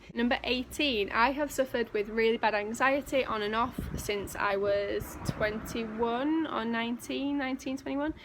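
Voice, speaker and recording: A woman with a Yorkshire accent and a fairly high pitch, at a moderate pace with ordinary pitch variation, over noticeable background noise. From northern England, West Yorkshire (near Leeds). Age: 20s. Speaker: vlogger and personal trainer. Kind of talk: casual vlog monologue. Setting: outdoors.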